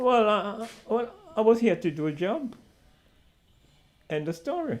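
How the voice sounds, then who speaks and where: A man with a high pitch talks with very wide pitch swings. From Trinidad. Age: 80s+. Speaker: war veteran. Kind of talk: interview answer.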